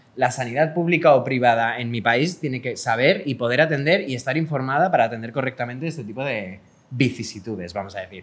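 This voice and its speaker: With hardly any pauses, a man talks at a very fast pace. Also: medium pitch for a man, ordinary pitch variation. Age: 30s. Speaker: podcast co-host. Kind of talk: casual chat.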